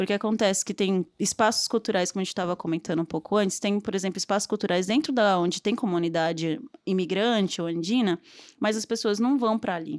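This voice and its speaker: A normal speaking voice from a woman at a medium pitch with ordinary pitch variation and a fairly quick pace, dry and close with no echo, on a very clean recording with a silent background. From Brazil, São Paulo (born in Bolivia). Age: 20s. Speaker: filmmaker. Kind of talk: podcast interview.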